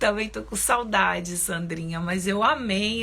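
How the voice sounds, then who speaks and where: In a plain, everyday voice, a woman speaks fairly low and fairly slowly with ordinary pitch variation. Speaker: spiritual teacher and psychologist. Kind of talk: live stream talk. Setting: live stream.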